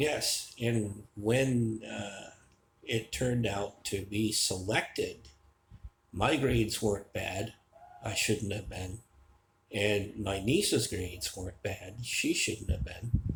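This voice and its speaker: This man has an American accent and a fairly low, somewhat breathy voice. He talks at a very slow pace with ordinary pitch variation. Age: 60s. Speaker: vlogger. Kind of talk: personal storytelling monologue. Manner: casual, with filler hesitations.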